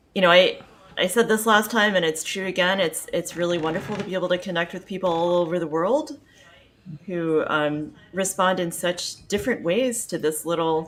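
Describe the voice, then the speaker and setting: Amid noticeable background noise, a woman speaks at a moderate pace with a medium pitch and ordinary pitch variation. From Kentucky, Louisville. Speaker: composer and pianist. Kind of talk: casual chat.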